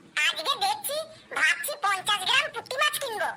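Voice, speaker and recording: This cartoonish character voice is squeaky and extremely high-pitched, moving at a moderate pace. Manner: earnest, self-justifying.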